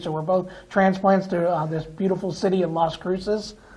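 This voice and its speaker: Over noticeable background noise, a man with a high pitch and an American accent speaks in a monotone with flat intonation. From Pennsylvania (Reading). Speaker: TV talk show host. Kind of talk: TV interview. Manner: halting, repeats words.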